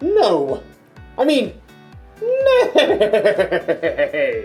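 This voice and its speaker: A put-on character voice at a high pitch plays over faint music in the background. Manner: silly, neighing.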